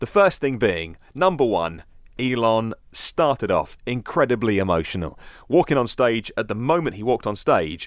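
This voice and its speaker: Very wide pitch swings from a medium-pitched man with a British accent, at a moderate pace, on a very clean recording with a silent background. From London, UK. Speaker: podcast host. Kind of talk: news podcast commentary. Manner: casual, conversational.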